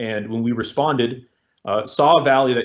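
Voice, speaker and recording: With fairly even intonation and a medium pitch, this man talks at a fairly quick pace. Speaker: army sergeant and war veteran, guest speaker. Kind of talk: talk to cadets with slides. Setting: virtual event, video call. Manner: fast; casual, hesitant with fillers.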